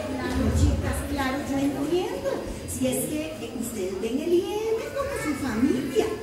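A woman speaks at a fairly slow pace. The recording carries audible room echo and noticeable background noise. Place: stage. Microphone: camera far.

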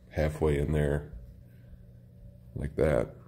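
This man speaks at a very slow pace. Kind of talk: casual project walkthrough. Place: garage. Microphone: phone near.

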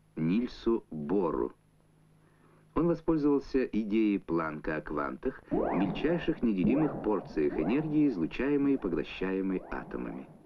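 Over noticeable background noise, a man talks at a fairly slow pace with very wide pitch swings. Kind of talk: 1970s Soviet educational film narration, scripted voice-over. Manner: formal, measured, even-paced and authoritative, with a didactic newsreel-style delivery. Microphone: old recording.

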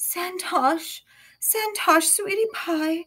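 A woman puts on a character voice that is raspy, shaky and extremely high in pitch. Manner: quivering, theatrical.

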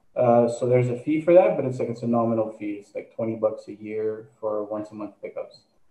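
A man at medium pitch in a dark, mellow tone, with big swings in loudness, ordinary pitch variation, a fairly quick pace and hardly any pauses, in audible room echo. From Quebec, Canada. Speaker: charity co-founder and entrepreneur; guest. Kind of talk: interview. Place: home room. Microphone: video call.

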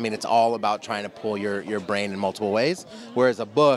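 With light background noise and a dry sound free of echo, a man of fairly low pitch talks in an ordinary speaking voice. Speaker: interviewee. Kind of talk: interview answer. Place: street. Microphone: handheld.

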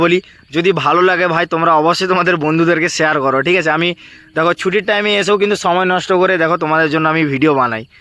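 In a dry, close recording with no echo, a man with a high voice and a bright, sharp tone keeps his loudness very even and his intonation fairly even. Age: 20s. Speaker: YouTuber, job exam advice. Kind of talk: informal explainer video.

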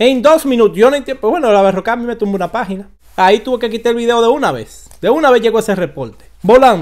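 A man talks at a very fast pace, his pitch extremely high with ordinary variation. The background is quiet. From Dominican Republic. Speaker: online commentator. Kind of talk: casual vlog commentary. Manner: animated. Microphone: studio mic.

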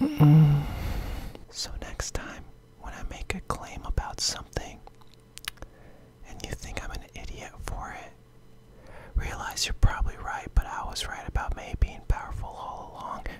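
A man whispers at a moderate pace, with long, frequent pauses. His loudness swings a lot over noticeable background noise. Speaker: gaming YouTuber. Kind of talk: casual talk to camera. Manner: casual, opinionated, slangy.

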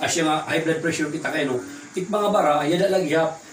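Music plays in the background and room echo is audible as a man talks at a fairly quick pace with ordinary pitch variation. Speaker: product presenter. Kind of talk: sales pitch. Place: home room. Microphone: camera far.

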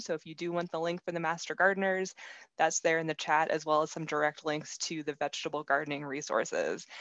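A woman with an American accent at a fairly quick pace, dry sound with no echo and a quiet background. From US Northeast (Pennsylvania). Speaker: entomologist; presenter. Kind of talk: educational webinar presentation. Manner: animated. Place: home room. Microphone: webcam.

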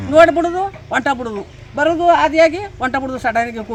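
Noticeable background noise behind a woman's lively, varied intonation. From Karnataka, Mandya district village. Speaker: former village council member. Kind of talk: complaint interview.

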